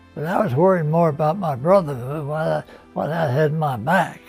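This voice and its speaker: Over background music, a man with an American accent speaks in a fairly high pitch with ordinary pitch variation. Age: 80s+. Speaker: war veteran. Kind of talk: interview answer. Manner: hesitant, halting.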